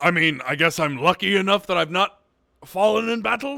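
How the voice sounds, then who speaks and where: A man's raspy, put-on character voice, high-pitched, at a moderate pace. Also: lively intonation. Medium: actual play. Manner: matter-of-fact.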